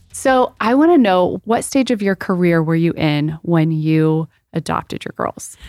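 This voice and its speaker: Speaking at a fairly slow pace, a woman with a fairly low pitch uses lively intonation in a plain, everyday voice, captured dry and close with no echo on a very clean recording with a silent background. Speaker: podcast co-host.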